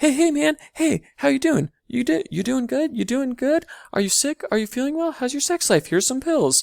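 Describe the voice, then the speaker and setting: A put-on character voice at a moderate pace. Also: man, extremely high pitch for a man. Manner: obnoxious, overly friendly, exaggerated.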